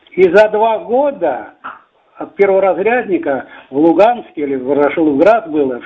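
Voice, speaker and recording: A man with a high pitch speaks at a fairly slow pace, his voice swinging very widely in pitch. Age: 80s+. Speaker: weightlifting coach; war veteran. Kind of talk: interview. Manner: halting.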